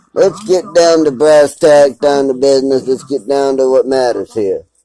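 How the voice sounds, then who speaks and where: Speaking with an American accent, a man has a dark, mellow tone, a fairly high pitch with ordinary variation, and a moderate pace. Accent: Texan twang, stronger when upset. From Texas. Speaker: YouTuber. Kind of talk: vlog rant. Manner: animated.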